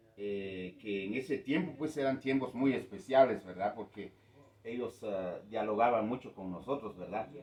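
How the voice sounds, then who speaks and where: This male voice sits at a medium pitch and shows ordinary pitch variation. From Guatemala, K'iche' Maya community. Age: 60s. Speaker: community elder. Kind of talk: interview. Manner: hesitant, many fillers.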